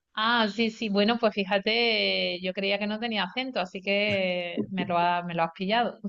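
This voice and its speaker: A woman with a slight Andalusian accent speaks at a medium pitch and fairly slow pace with ordinary pitch variation and hardly any pauses. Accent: Córdoba Andalusian accent, slight. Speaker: university campus project coordinator. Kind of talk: online meeting closing remarks.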